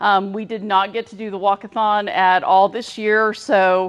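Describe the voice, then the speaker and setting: A woman speaks with a fairly high pitch and fairly even intonation. Her pace is moderate and the background is quiet. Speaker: council treasurer. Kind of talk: meeting announcement. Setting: in-person meeting. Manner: loud.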